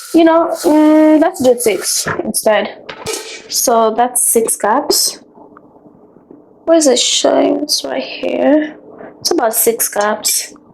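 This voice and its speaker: Over noticeable background noise, a woman with a high-pitched voice and lively intonation speaks at a very slow pace with long, frequent pauses. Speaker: lifestyle vlogger. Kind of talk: casual vlog tutorial.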